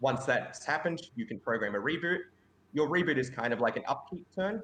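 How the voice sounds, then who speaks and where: A man with an Australian accent speaks at a fairly quick pace, his fairly high pitch carrying lively intonation. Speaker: game designer. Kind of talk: pitch presentation. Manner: loud.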